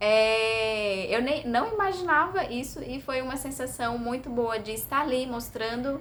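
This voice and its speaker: Her pitch is high, with ordinary variation, and a woman speaks at a fairly slow pace with hardly any pauses. The room echo is audible. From Brazil, Bahia. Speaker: vlogger. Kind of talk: casual vlog monologue. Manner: hesitant, many fillers.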